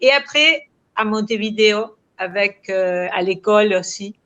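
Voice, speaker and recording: Bright and sharp in tone, the speaker uses a Spanish accent at a very slow pace with ordinary pitch variation. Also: woman. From Uruguay, early school years in France. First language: Spanish (speaking French). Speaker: crime novelist. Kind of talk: literary interview. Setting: video call. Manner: halting, searching for words.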